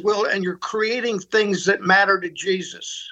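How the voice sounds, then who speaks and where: This man projects a raised voice that is high-pitched, bright and sharp, with an American accent. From US Northeast, Pittsburgh. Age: 80s+. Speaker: ministry leader and mentor. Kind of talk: interview conversation. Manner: halting, repeats words.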